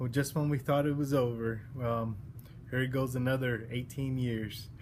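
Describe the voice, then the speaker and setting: A man's somewhat breathy voice, medium in pitch, carries audible room echo. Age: 40s. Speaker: college student giving class speech. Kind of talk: self-introduction speech. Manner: halting, many fillers.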